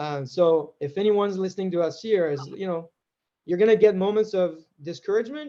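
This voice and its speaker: With a French accent, a man talks at a fairly quick pace in a high pitch, his tone dark and mellow and his intonation lively. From France. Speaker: tech executive. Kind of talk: interview.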